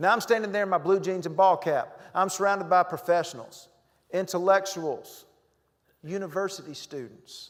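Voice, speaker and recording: The voice moves at a moderate pace in a Southern US accent. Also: man. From North Carolina. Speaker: motivational humorist, keynote speaker. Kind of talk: humorous keynote speech to live audience. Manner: upbeat, energetic.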